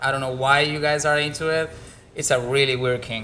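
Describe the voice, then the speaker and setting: His tone is bright and sharp, and this man keeps his intonation fairly even. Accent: Spanish. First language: Spanish. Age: 20s. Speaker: bartender. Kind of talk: casual chat.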